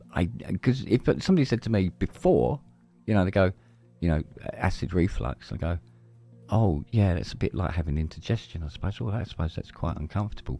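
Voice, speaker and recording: Music plays behind a man with a very deep, low pitch and lively intonation. He speaks at a fairly quick pace, broken by long, frequent pauses. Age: 60s. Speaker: podcast host. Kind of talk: casual chat.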